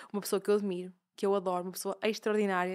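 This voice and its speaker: A woman at a very fast pace with fairly even intonation, over a quiet background. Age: 20s. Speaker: podcast host and fashion brand founder; podcast host. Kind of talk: casual interview chat; show introduction. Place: studio. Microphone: studio mic.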